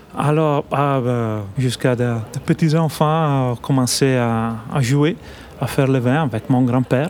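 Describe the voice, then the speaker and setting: A man with an Italian accent speaks at a very slow pace, medium in pitch, with fairly even intonation and very even loudness. Noticeable background noise runs underneath. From northern Italy, Trentino. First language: Italian (speaking French). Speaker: winemaker. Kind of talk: radio interview. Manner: halting.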